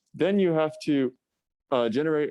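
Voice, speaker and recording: A man's dark, mellow tone comes through dry and close with no echo, at a fairly quick pace with ordinary pitch variation. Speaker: student club officer giving a technical talk. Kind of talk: technical lecture. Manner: fast.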